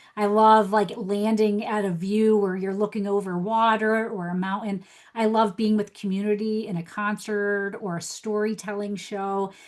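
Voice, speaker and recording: A woman's medium-pitched voice with a New Jersey accent, monotone, flat intonation, hardly any pauses and a moderate pace. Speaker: life coach. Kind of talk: podcast interview.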